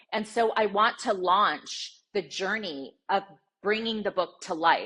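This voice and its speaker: This woman has a plain, everyday voice at a medium pitch, with ordinary pitch variation. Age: 60s. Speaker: sports journalist and TV broadcaster. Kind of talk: interview.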